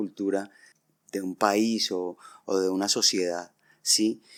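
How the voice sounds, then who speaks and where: A man in a flat monotone on a very clean recording with a silent background. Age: 60s. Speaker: rock band vocalist. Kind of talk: podcast interview.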